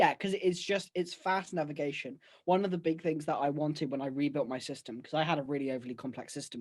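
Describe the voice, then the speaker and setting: A man with a British accent talks at a very fast pace, his pitch fairly high with ordinary variation. The background is quiet. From UK. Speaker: podcast co-host. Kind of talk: casual chat. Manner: breathless. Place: home room. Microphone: video call.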